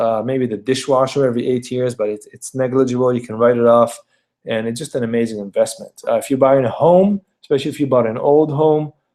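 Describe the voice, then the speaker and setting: This man has a non-native accent. His pitch is medium and his intonation fairly even. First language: not English. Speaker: realtor. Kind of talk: video presentation of market data. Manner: hesitant, many fillers and repetitions.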